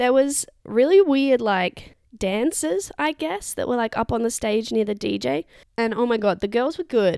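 Speaking with an Australian accent, a woman with a fairly high pitch and a dark, mellow tone talks at a moderate pace with lively intonation. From Perth, Western Australia. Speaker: travel podcaster. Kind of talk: casual solo monologue. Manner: rambling, casual.

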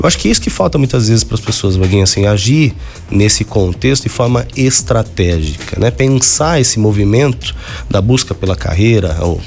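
Over noticeable background noise, a man with a fairly low pitch speaks at a moderate pace with lively intonation. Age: 40s. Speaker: radio host and university professor. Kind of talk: radio talk show. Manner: halting, frequent repetitions and fillers.

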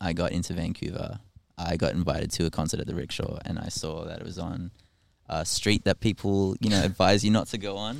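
Speaking at a fairly quick pace, a man with a very deep, low pitch shows ordinary pitch variation. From Australia. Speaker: musician and electrician. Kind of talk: casual chat. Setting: on a ferry.

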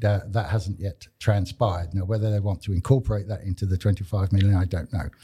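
Here a man with a Cumbrian accent has a fairly low, somewhat breathy voice of dark, mellow tone. The recording is very clean, the background silent. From northern England. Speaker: community radio co-host. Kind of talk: casual chat. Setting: studio.

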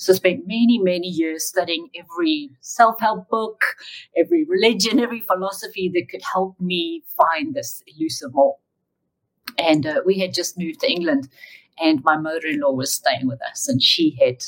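A woman with a medium pitch talks at a moderate pace, her pitch swinging very widely. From South Africa. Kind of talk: interview, faith testimony.

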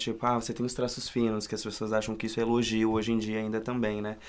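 A man talks in a medium pitch, his intonation monotone and flat. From Rio Grande do Sul, Brazil. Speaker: actor. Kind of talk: casual chat. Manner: halting.

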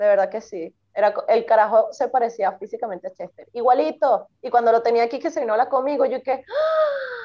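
A woman speaks in a Venezuelan accent. Her pace is moderate, with hardly any pauses. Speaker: podcast co-host. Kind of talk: casual chat.

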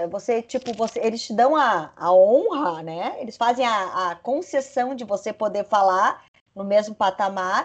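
Lively intonation marks this woman's plain, everyday voice, which has a fairly high pitch and a fairly slow pace. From Santa Catarina, Brazil (Lages). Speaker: media executive. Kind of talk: casual chat.

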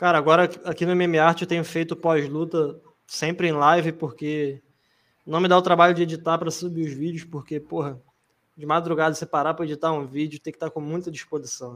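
Speaking at a fairly quick pace, a man uses a fairly high pitch with monotone, flat intonation. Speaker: podcast host. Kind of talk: casual chat. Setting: live stream.

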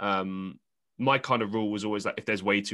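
A very fast, monotone, flat delivery from a man with a London accent, bright, sharp tone and fairly low pitch against a quiet background. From London, England. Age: 20s. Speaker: podcast host. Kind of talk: casual interview chat.

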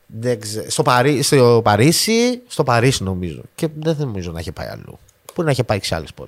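In an ordinary speaking voice of medium pitch, a man talks at a moderate pace with lively intonation and big swings in loudness. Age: 30s. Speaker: podcast host. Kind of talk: casual chat.

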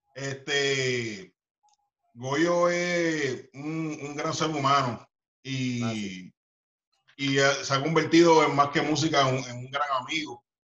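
At a very slow pace, a man with a fairly high voice pauses long and often, his loudness swinging widely while his pitch varies in an ordinary way. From Puerto Rico, Carolina. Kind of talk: interview. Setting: video call.

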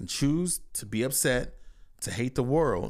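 Ordinary pitch variation marks this man's speech. He has a plain, everyday voice and keeps a moderate pace. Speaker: podcast host. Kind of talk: casual chat. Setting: home recording.

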